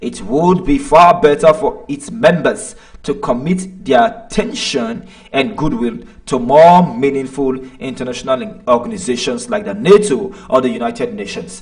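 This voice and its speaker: A man with a Nigerian accent, high in pitch with very wide pitch swings. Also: moderate pace. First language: Nigerian language. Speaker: online commentator. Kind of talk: live stream commentary. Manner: hesitant, many fillers.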